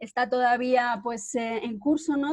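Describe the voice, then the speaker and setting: With fairly even intonation, a woman talks in a high pitch. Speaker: journalist, cofounder of research collective. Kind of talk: webinar presentation. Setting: video call. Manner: hesitant, many fillers.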